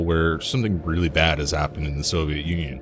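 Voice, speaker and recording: A man speaks with a Canadian accent at a very deep, low pitch. Noticeable background noise sits behind him. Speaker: video game reviewer. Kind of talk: scripted review narration.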